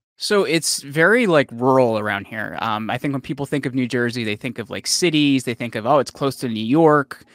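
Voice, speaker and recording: A man in a normal speaking voice talks at a fairly quick pace with hardly any pauses, medium pitch and ordinary pitch variation, in a very clean recording with a silent background and a dry, close sound with no echo. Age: 30s. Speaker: podcast host and company CEO, former powerlifter. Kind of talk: interview.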